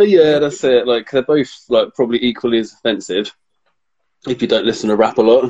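Speaking with a British accent, a man talks at a medium pitch. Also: ordinary pitch variation, fairly quick pace. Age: 30s. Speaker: podcast co-host. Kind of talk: casual chat. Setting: Instagram live.

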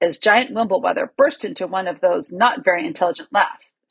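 Quiet surroundings behind reading aloud in a natural voice

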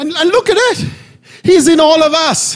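Loud and animated, a man speaks at an extremely high pitch. Noticeable background noise and audible room echo fill the recording. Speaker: pastor. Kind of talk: sermon.

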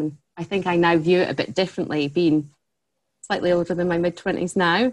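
Her intonation monotone and flat, a woman talks at a fairly quick pace with a fairly low pitch. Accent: Scottish. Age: 30s. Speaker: head of customer relations at a tech company. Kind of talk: casual interview chat.

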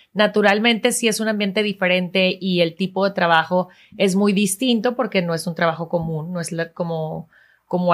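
At a fairly quick pace, a woman uses an ordinary speaking voice of medium pitch with fairly even intonation, in a very clean recording with a silent background. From Venezuela. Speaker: TV news presenter. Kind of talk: interview.

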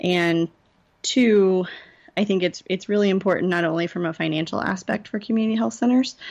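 A woman with an American accent talks at a fairly quick pace and a fairly low pitch. She has a plain, everyday voice, with ordinary pitch variation. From Indiana. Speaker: nurse and healthcare consultant. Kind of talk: interview.

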